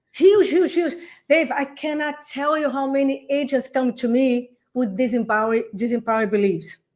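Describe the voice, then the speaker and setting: A woman speaks with a non-native accent at a moderate pace. Her intonation is lively. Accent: foreign. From Brazil. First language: Portuguese. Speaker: real estate coach. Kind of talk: podcast interview answer. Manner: excited, energetic.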